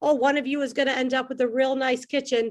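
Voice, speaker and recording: In a Chicago South Side accent, a woman talks at a moderate pace. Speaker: comedian. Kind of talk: stand-up. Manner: animated.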